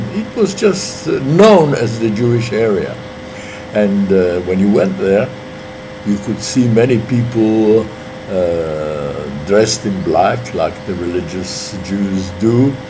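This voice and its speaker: A man with a fairly low pitch and lively intonation speaks at a very slow pace, with audible room echo and noticeable background noise. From Poland, Warsaw. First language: Polish. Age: 80s+. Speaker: witness to history. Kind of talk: oral history interview. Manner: halting, with many fillers.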